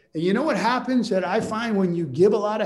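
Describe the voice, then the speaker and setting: Room echo can be heard. A man talks with lively intonation. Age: 50s. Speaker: trial lawyer. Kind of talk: casual talk to colleagues on a video call. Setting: video call.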